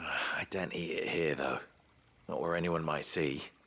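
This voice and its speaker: A man whispers in a put-on character voice. The delivery is raspy and moves at a moderate pace. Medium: video game.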